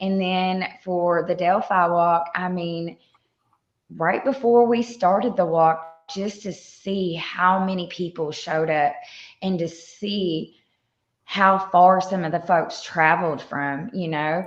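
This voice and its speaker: Over music in the background, a woman with a fairly low pitch talks at a very slow pace with ordinary pitch variation. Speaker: content creator. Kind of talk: casual chat.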